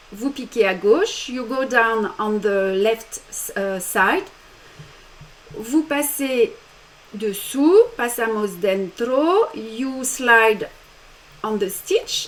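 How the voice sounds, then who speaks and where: A woman's fairly high, lively voice at a very slow pace, with long, frequent pauses. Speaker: embroidery teacher. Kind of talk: tutorial. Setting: live stream.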